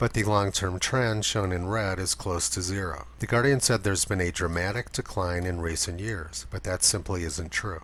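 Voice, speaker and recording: Speaking with a very deep, low pitch and vocal fry, a man uses lively intonation at a moderate pace. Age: 60s. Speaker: climate commentary video maker. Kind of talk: scripted narration.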